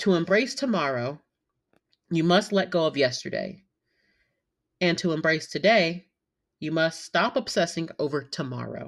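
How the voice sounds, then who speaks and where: A fairly low-pitched woman with a Southern US accent, lively intonation and a moderate pace, with long, frequent pauses, on a very clean recording with a silent background. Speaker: podcast host and nursing assistant. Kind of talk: casual monologue. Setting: home recording. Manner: many filler ums.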